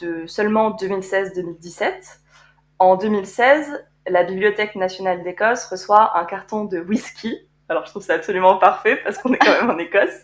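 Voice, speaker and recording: Fairly slow speech from a woman, her pitch moving in an ordinary way. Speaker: podcast co-host, art conservator-restorer. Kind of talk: casual chat. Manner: halting.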